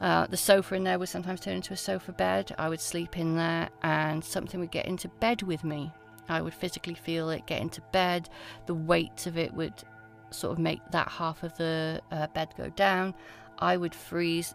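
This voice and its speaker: A woman's fairly low voice with lively intonation at a moderate pace, music in the background. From Wales. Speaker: folklore researcher. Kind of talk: interview answer.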